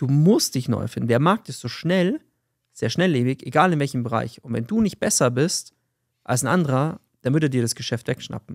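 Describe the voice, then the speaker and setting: A man talks at a moderate pace with a fairly high pitch and lively intonation, a normal speaking voice over a quiet background. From Bavaria, Fürstenfeldbruck near Munich; Bavaria. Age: 30s. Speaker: podcast co-host, sales entrepreneur; podcast host. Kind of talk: casual chat. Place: office. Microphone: studio mic.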